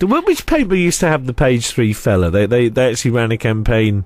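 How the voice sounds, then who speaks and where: A man with a Norfolk accent, medium pitch, fairly quick pace and lively intonation. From Norfolk, England. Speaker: radio host. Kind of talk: radio interview. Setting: radio studio.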